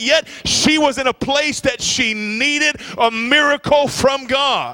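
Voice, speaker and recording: A man speaks in a raised, projected voice with an animated, warm tone. The sound is dry and close with no echo, though noticeable background noise comes through. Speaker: visiting preacher. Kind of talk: sermon. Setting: church. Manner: animated, call-and-response, urging the congregation to shout amen; warm, fervent, building in intensity.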